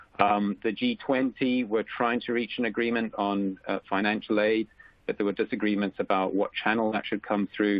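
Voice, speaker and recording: A man with a slight South African accent, a fairly low pitch, a moderate pace and fairly even intonation. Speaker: economist. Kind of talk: webinar presentation. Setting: webcast, remote call. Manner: halting, many fillers.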